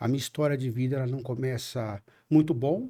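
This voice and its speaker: A man speaks at a moderate pace. His voice is fairly high, with a dark, mellow tone. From São Bernardo do Campo, São Paulo, Brazil. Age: 50s. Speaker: city council candidate. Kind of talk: podcast interview.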